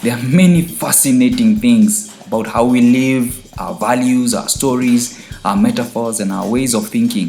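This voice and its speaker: A man with an African accent talks at a moderate pace and medium pitch, with very wide pitch swings and hardly any pauses. Audible room echo and background music surround him. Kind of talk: scripted casual chat.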